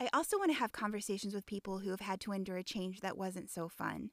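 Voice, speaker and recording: A woman with an ordinary speaking voice talks at a moderate pace and medium pitch. The recording is very clean, with a silent background and a dry, close sound with no echo. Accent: American. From Indiana. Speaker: podcast host, coach. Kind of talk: podcast monologue; casual interview.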